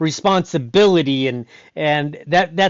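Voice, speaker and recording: At a fairly slow pace, a man speaks. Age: 60s. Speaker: stunt performer and BMX rider. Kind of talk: interview conversation. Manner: halting, many repetitions.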